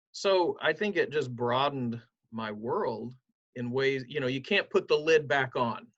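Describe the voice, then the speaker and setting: Using a plain, everyday voice, a man with an American accent speaks fairly slowly at a fairly high pitch with lively intonation. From southern Ohio, Appalachian roots. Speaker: pastor. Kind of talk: interview.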